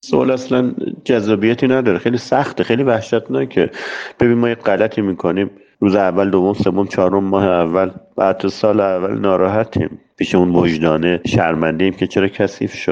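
At a moderate pace, a man with a fairly low pitch speaks at very even loudness with ordinary pitch variation. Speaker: dentist. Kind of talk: personal story. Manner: talkative.

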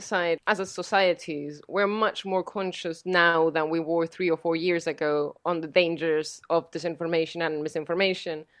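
In a Spanish accent, a woman talks at a moderate pace with hardly any pauses, her fairly low voice showing ordinary pitch variation. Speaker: fact-checking organization director. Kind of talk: interview.

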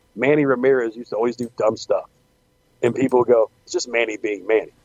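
Ordinary pitch variation marks this man's unremarkable speaking voice at medium pitch. He speaks at a moderate pace. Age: 40s. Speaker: wrestling podcast co-host and indie wrestling worker. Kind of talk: casual chat.

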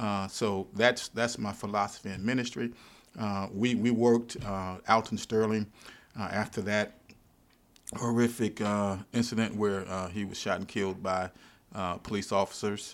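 A man talks with a fairly low pitch. His intonation is monotone and flat. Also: moderate pace. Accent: Louisiana. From US South, Baton Rouge, Louisiana. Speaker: pastor. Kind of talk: interview conversation. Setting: library.

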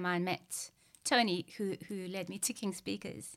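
A woman's medium-pitched, flat, monotone voice on a very clean recording with a silent background. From Zimbabwe. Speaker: animal behaviorist and writer. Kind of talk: casual interview. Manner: halting, stammering, repeats words.

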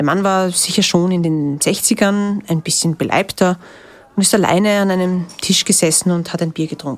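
A woman's medium-pitched voice at a moderate pace with fairly even intonation, against noticeable background noise. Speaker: reporter. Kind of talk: narrated field reporting. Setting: outdoors on location.

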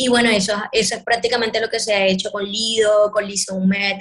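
A woman speaks at a moderate pace in a fairly high voice. Her intonation stays monotone and flat. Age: 20s. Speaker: afro hair artist and performer. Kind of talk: interview conversation.

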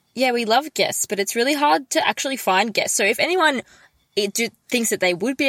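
A woman speaks with an Australian accent and lively intonation. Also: dry, close sound with no echo. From Melbourne, Australia. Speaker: podcast co-host. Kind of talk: casual chat. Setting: video call.

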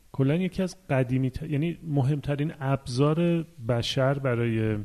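A man's dark, mellow voice at a medium pitch, with ordinary pitch variation and a very slow pace. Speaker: podcast co-host. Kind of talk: casual chat.

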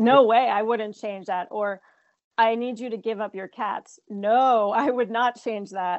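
With an American accent, a woman talks at a fairly slow pace in an unremarkable speaking voice, her pitch fairly high and its variation ordinary. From New Jersey, near New York City. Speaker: filmmaker and actress. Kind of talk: interview.

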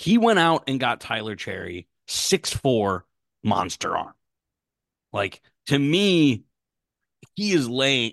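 A man's medium-pitched voice with vocal fry, very wide pitch swings, a very slow pace and long, frequent pauses against a quiet background. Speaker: podcast co-host. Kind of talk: casual chat.

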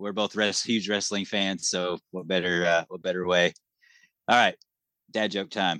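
In an American accent, a man with a very deep, low pitch and a bright, sharp tone speaks in a flat monotone at a moderate pace, with long, frequent pauses, in a dry, close sound with no echo over a quiet background. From New Hampshire, US. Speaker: podcast co-host. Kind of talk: casual interview chat.

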